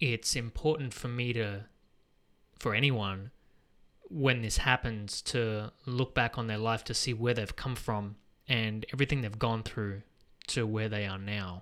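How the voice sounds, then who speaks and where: On a very clean recording with a silent background, a man speaks in a bright, sharp tone with fairly even intonation. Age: 30s. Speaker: podcast host. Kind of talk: casual chat.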